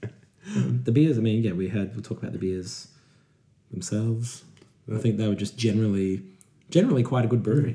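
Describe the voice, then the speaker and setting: Fairly quick male speech broken by long, frequent pauses, somewhat breathy, with a dark, mellow tone at medium pitch. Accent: Australian. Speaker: podcast host. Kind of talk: casual chat.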